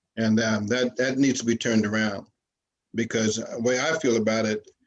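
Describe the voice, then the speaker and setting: Flat and monotone, a man's voice holds a medium pitch. He keeps a moderate pace. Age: 70s. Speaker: community advisory board member. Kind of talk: public meeting comment. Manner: halting, many fillers.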